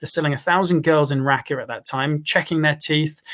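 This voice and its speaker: A man with a southern English accent, fairly high in pitch, with fairly even intonation. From England, Cambridge. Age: 30s. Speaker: former volunteer fighter. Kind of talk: interview.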